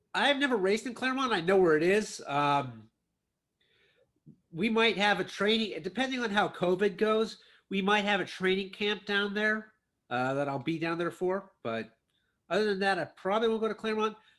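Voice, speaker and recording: The speaker has a Midwestern US accent. The pace is moderate. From Ohio. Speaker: podcast host and triathlete. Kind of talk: interview.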